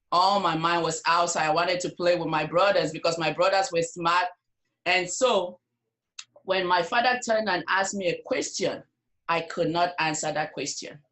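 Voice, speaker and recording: With an African accent, a woman speaks at a moderate pace and fairly low pitch, her intonation fairly even. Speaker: nurse and network marketer. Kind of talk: interview.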